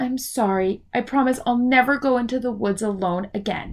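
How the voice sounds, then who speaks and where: A woman puts on a character voice with a high pitch. She talks at a moderate pace. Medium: read story.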